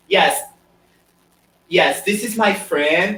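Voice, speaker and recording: A man with a Portuguese accent and ordinary pitch variation. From Brazil. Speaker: pianist, composer and piano teacher. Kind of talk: interview. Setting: live video call. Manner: halting, with many repetitions.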